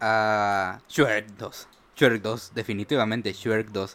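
Speaking very slowly with a Mexican accent, a man is heard on a very clean recording with a silent background. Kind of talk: casual chat.

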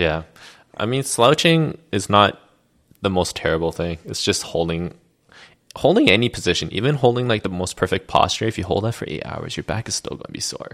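A man's fairly low voice in a Canadian accent, with very wide pitch swings and a fairly quick pace, on a very clean recording with a silent background. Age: 30s. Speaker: chiropractor. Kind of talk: casual interview chat. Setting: in person at his clinic.

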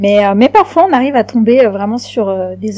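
At a fairly slow pace, a woman speaks in an ordinary speaking voice, fairly high in pitch, with ordinary pitch variation. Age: 40s. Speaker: podcast guest. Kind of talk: casual chat.

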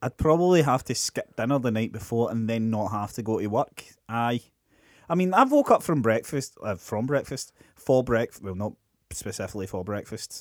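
A Scottish accent comes through with lively intonation at a moderate pace. The recording is very clean with a silent background, and the sound is dry and close with no echo. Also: man, medium pitch for a man. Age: 30s. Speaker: podcast co-host. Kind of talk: casual chat.

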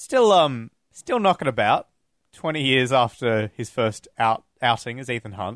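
A man's medium-pitched, ordinary speaking voice with ordinary pitch variation, at a fairly slow pace, in a very clean, dry, close recording with a silent background and no echo. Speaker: podcast host. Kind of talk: casual chat. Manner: joking, playful.

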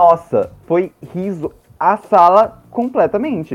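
A man speaks with music in the background. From interior of Mato Grosso, Brazil. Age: 20s. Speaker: podcaster and theater teacher. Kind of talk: casual chat.

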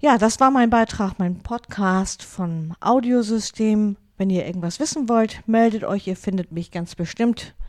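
With a northern German accent, a woman with a fairly high pitch talks at a fairly slow pace and ordinary pitch variation. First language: Low German (speaking German). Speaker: pastor and podcast host. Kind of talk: casual monologue. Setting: home studio.

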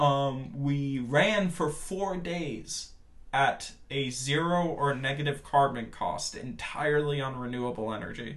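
Somewhat breathy and with an American accent, a man talks at a fairly slow pace in a fairly high pitch with ordinary pitch variation amid audible room echo. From Washington DC, US, moving often with yearly trips to Portugal. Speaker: filmmaker. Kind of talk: casual interview chat.

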